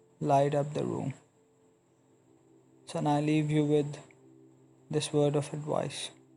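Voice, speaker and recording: A man's fairly high voice at a very slow pace, with long, frequent pauses, monotone, flat intonation and music in the background. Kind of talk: motivational speech; dramatic letter reading. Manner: slow, earnest.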